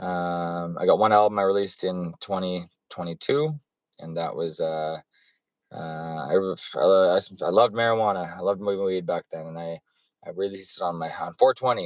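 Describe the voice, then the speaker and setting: At a moderate pace, a man with a Western Canadian accent speaks at a very deep, low pitch with ordinary pitch variation. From western Canada (Alberta, BC Fraser Valley). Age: 40s. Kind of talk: personal testimony monologue. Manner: rambling, jumps back and forth; halting, many fillers and restarts.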